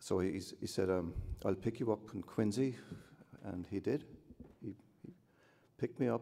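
A man speaks at a moderate pace with a dark, mellow tone. His pitch rises and falls in the usual way, broken by long, frequent pauses. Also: fairly low pitch for a man. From Cork, Ireland; Ireland. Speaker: artist. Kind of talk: acceptance speech with anecdotes. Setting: hotel ballroom with audience. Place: hall. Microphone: podium.

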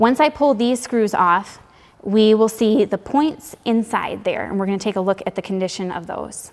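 A woman's moderately paced speech with ordinary pitch variation. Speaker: tractor repair instructor. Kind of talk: tutorial. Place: garage. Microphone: lapel.

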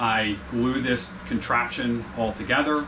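A man talks with fairly even intonation. Noticeable background noise sits behind him. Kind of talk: tutorial. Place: bathroom.

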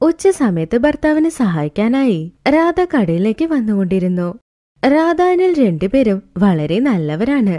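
A woman's fairly high voice, dark and mellow in tone, with big pitch swings and a fairly slow pace.

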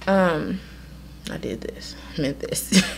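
A woman is speaking over light background noise. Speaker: vlogger reviewing a product. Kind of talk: casual vlog chat. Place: home room. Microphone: handheld.

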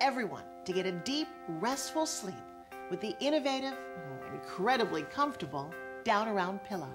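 Over music in the background, a woman speaks in an upbeat tone at a moderate pace. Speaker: infomercial host. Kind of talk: TV commercial read. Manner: upbeat, cozy.

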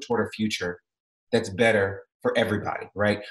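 With audible room echo and a quiet background, a man speaks at a fairly quick pace. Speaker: arts executive and musician. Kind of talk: interview. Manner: calm, serene. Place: home room. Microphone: video call.

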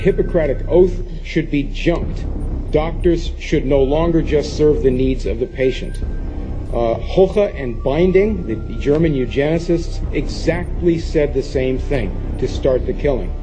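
Fairly slow speech from a man with music in the background. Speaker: public commenter at hearing. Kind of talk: prepared public testimony. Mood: accusatory, urgent. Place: meeting room.

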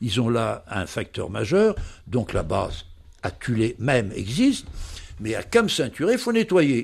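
A man's fairly high voice with vocal fry and very wide pitch swings, on a very clean recording with a silent background. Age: 90s. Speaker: polar explorer and ethnologist. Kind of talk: interview. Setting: at home in Paris.

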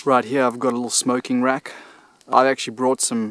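Recorded against a quiet background, a man's voice sounds dry with no echo. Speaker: solo bushcraft vlogger. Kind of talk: casual vlog chat. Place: forest. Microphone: phone near.

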